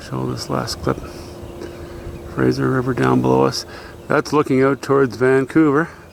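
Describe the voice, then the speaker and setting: Noticeable noise runs in the background. A man talks with long, frequent pauses. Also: moderate pace. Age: 60s. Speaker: vlogger, dirt bike rider. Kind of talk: casual vlog narration. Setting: outdoors. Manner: halting, many fillers and restarts.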